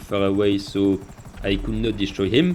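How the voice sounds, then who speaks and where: Someone with a French accent speaks at a moderate pace against noticeable background noise. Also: man. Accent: French accent, typical. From France. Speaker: gaming youtuber. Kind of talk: gameplay commentary narration.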